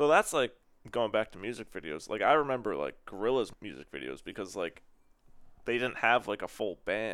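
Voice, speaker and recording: Speaking at a moderate pace, a man with a fairly low pitch and vocal fry makes very wide pitch swings on a very clean recording with a silent background. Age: 20s. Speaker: music fan. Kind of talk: casual chat.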